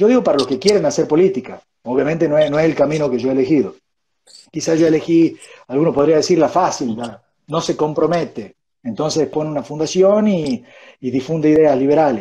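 With a dark, mellow tone, a man speaks at a fairly high pitch and a fairly quick pace, with ordinary pitch variation. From Argentina. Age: 30s. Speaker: think-tank education director; interview guest. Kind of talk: interview conversation. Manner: halting, many fillers. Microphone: wireless earphones, poor audio; earbuds.

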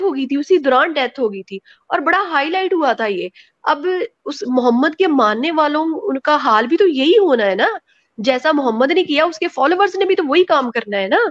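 A woman speaks at a high pitch with very wide pitch swings. The background is quiet. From Pakistan. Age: 30s. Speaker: guest. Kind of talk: personal testimony. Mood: emotional, critical personal account. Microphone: video call.

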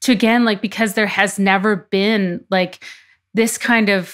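Moderate in pace, this woman speaks with a Canadian accent and fairly even intonation. She has a plain, everyday voice. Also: very clean recording, silent background. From Canadian prairies. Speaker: investigative journalist. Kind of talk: interview.

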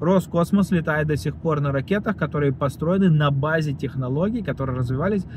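A fairly high-pitched man at a moderate pace, with noticeable background noise. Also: dry sound with no echo. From Russia, Voronezh; Russia. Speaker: video blogger; vlogger. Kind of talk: vlog monologue; casual vlog chat, political opinion. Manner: halting, many fillers. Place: car. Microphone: phone near.

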